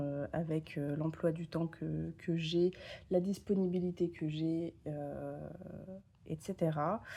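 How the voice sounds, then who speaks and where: A woman's fairly low-pitched, dark, mellow voice at a very slow pace, with fairly even intonation. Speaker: tarot content creator. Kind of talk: casual vlog talk. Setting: home, camera on tripod. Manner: hesitant, many fillers.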